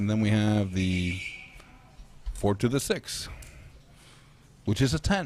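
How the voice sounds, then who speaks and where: A man talks at a very slow pace with long, frequent pauses. His voice is fairly low in pitch, with ordinary pitch variation and very even loudness. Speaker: sports commentator. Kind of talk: live commentary. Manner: casual, halting.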